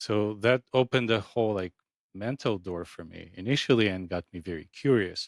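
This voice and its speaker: This man has a fairly low pitch with ordinary pitch variation and big swings in loudness, at a moderate pace. The recording is very clean with a silent background, and the sound is dry and close with no echo. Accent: non-native. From Ukraine, then Israel as a teenager. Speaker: acupuncturist. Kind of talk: podcast interview.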